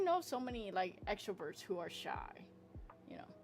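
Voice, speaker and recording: A woman speaks in an animated tone at a moderate pace, her fairly high voice swinging very widely in pitch while music plays in the background. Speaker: streamer and artist. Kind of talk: casual chat. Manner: loud.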